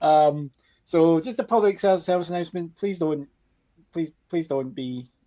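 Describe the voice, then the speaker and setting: A man's fairly high voice has a dark, mellow tone. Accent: Glaswegian. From Scotland, Glasgow. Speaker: cinema worker, podcast guest. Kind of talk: casual chat.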